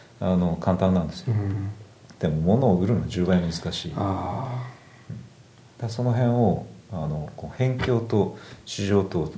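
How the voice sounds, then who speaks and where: A man speaks at a fairly low pitch in a dark, mellow, somewhat breathy tone with ordinary pitch variation. He leaves long, frequent pauses, and audible room echo surrounds him. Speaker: craftsman and product maker. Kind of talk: casual chat.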